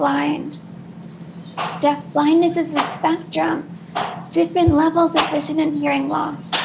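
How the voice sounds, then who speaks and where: A woman is speaking. Background noise is noticeable throughout. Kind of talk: panel talk. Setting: video call from living room. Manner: slight delay before responding.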